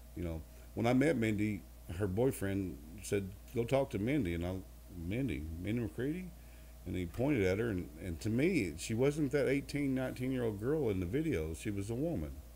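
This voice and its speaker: This man has a fairly low pitch and a dark, mellow tone with vocal fry. He talks at a moderate pace, his pitch swinging very widely. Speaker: country singer. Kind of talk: interview answer.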